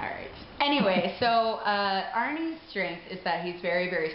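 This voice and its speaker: Speaking fairly slowly, a woman can be heard. The recording has noticeable background noise and audible room echo. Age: 30s. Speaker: contestant couple partner. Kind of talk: interview. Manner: loud.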